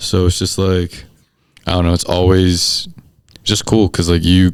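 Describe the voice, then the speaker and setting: Very slowly, a man speaks in a very deep, low voice with monotone, flat intonation. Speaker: sports photographer. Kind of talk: podcast interview.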